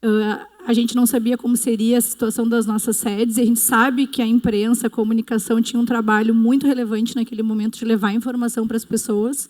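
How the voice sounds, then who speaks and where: Speaking at a fairly quick pace with hardly any pauses, a woman keeps a fairly high, monotone, flat delivery at very even loudness over noticeable background noise. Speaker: media company executive. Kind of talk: panel discussion.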